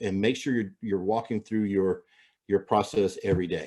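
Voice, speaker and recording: A man speaks with ordinary pitch variation against a quiet background. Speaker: real estate agent and trainer. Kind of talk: training webinar. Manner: fast; halting, many fillers.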